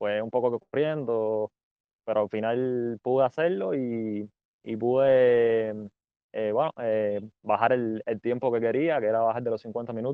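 Speaking in a normal speaking voice, a man holds a medium pitch and fairly even intonation at a fairly slow pace. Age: 20s. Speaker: amateur runner. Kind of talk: casual chat.

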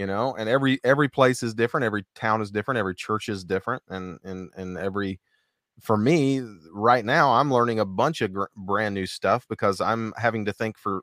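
In an ordinary speaking voice, a man talks at a fairly quick pace and fairly low pitch, the sound dry and close with no echo on a very clean recording with a silent background. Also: ordinary pitch variation. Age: 40. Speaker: podcast co-host and gospel singer. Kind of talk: casual chat.

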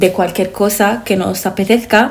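This is an ordinary speaking voice, with fairly even intonation and a moderate pace. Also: woman. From Lebanon. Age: 20s. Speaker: podcast co-host, interior architect. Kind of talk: casual chat. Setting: seated at a table.

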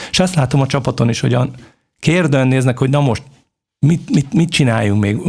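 A man's medium-pitched, somewhat breathy voice at a fairly quick pace, loudness very even, pitch varying in an ordinary way, broken by long, frequent pauses. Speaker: football club sporting director, former international player. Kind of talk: interview. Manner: halting, many repeated fillers.

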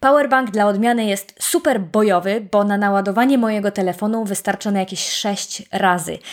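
A woman talks at a moderate pace in an animated tone. The recording is very clean, with a silent background. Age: 30s. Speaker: podcast host. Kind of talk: casual solo podcast talk.

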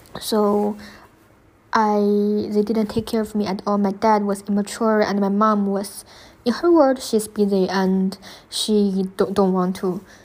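On a very clean recording with a silent background, a woman speaks with a Chinese accent. Her medium pitch carries fairly even intonation at a fairly slow pace. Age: 20s. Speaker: student podcaster sharing personal story. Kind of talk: personal testimony monologue. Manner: unscripted, hesitant with fillers.

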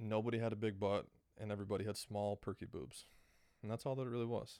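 An animated voice speaks with an American accent. The recording is very clean, with a silent background. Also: man. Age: 20s. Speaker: podcast host. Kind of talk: casual monologue.

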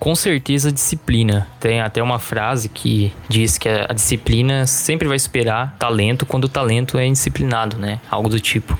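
With a Brazilian accent, a man speaks at a moderate pace with hardly any pauses, medium pitch, ordinary pitch variation and very even loudness, over noticeable background noise. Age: 20s. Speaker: heavy metal guitarist and music teacher. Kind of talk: casual interview.

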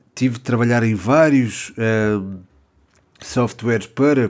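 On a very clean recording with a silent background, a man with a European Portuguese accent speaks at a very slow pace with fairly even intonation. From Portugal. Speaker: football podcaster. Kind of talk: solo podcast commentary. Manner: hesitant, many fillers.

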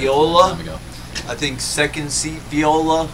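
Noticeable background noise runs under the speech. The pace is fairly slow. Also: man. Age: older, middle-aged. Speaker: podcast co-host, rapper and musician. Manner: casual, rambling storyteller.

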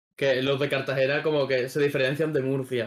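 A man speaks in a normal speaking voice. It sits fairly high in pitch and moves at a fairly quick pace. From Extremadura, Spain. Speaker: podcast host. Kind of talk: casual chat.

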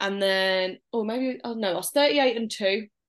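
The speaker has a Birmingham accent and ordinary pitch variation. The background is quiet. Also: woman. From Birmingham, England. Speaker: new mother sharing birth story. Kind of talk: casual interview.

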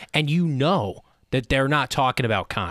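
A man's ordinary speaking voice at medium pitch and moderate pace, in a very clean recording with a silent background. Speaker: radio host. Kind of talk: casual chat. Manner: casual, joking.

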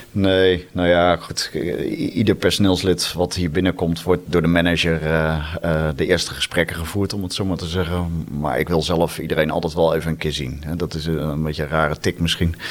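A man talks in a very deep, low pitch while noticeable background noise carries on behind him. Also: fairly even intonation, moderate pace. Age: 40s. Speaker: entrepreneur, agency owner. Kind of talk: interview. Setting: office on ninth floor.

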